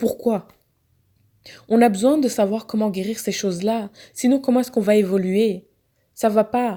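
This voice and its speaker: On a very clean recording with a silent background, a woman speaks at a fairly slow pace in a dark, mellow tone with fairly even intonation. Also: fairly high pitch for a woman. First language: not French (speaking French). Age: young. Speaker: social media activist. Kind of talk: monologue to camera. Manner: impassioned.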